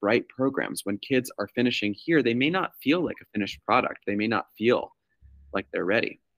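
A man speaks in an ordinary speaking voice with an American accent, at medium pitch and a fairly quick pace. His intonation is lively, and the sound is dry and close with no echo. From New York. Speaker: school-based clinician and podcast host. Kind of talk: casual chat.

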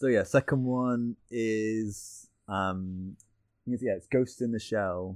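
Very slowly, a man speaks with a British accent. His pitch is medium and his intonation fairly even. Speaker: animator. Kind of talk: casual chat. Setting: remote call with headphones.

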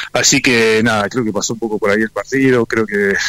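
Recorded dry and close with no echo, a man speaks with monotone, flat intonation. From Necochea, Argentina. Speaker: professional rugby player. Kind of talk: interview.

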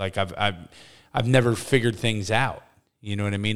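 A man with an ordinary speaking voice, medium pitch, fairly even intonation, and a fairly quick pace, on a very clean recording with a silent background. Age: 40s. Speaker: podcast co-host. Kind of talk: casual chat.

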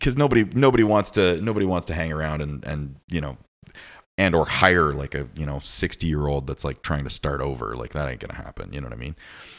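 On a very clean recording with a silent background, a man with a very deep, low pitch and vocal fry talks at a very fast pace with lively intonation. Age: 30s. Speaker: podcast host. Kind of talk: casual chat.

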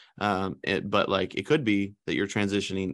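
Against a quiet background, a man with an unremarkable speaking voice and fairly low pitch talks at a fairly quick pace with fairly even intonation. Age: 30s. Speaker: youth pastor, podcast co-host. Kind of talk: casual chat.

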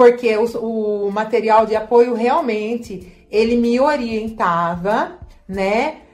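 Her pace is very slow. The woman's pitch sits fairly high. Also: ordinary pitch variation. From Brazil, São Paulo state (Leme). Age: 40s. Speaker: healthcare worker. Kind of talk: testimony. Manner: halting.

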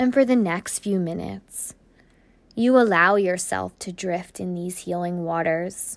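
A woman talks at a fairly slow pace in a fairly low pitch. She has an ordinary speaking voice with ordinary pitch variation. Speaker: podcast host and meditation guide. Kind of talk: guided meditation, second-person visualization journey. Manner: slow, soothing, gently paced with breath cues; soft-spoken, dreamy imagery-laden narration.

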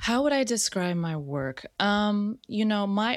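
Heard in a very clean recording with a silent background, a woman with an American accent speaks with lively intonation. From US, San Francisco Bay Area (Richmond). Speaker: artist. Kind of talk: casual interview chat.

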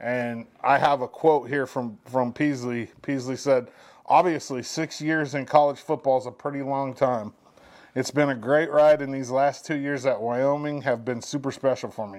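At a moderate pace and medium pitch, a man talks in a plain, everyday voice with fairly even intonation in a very clean recording over a silent background. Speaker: radio co-host. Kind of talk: casual chat.

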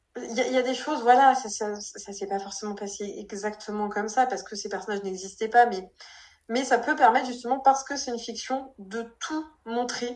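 Speaking at a moderate pace, a woman uses a fairly high pitch with ordinary pitch variation and big swings in loudness. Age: 20s. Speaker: novelist and physiotherapist. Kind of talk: casual interview. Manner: hesitant, many fillers.

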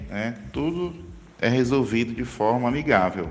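A man speaks at a medium pitch with ordinary pitch variation and a fairly slow pace. Audible room echo surrounds his voice. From Brazil, Northeast (Pedra, Pernambuco area). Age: 50s. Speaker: former city councillor and accountant. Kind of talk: interview. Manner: formal.

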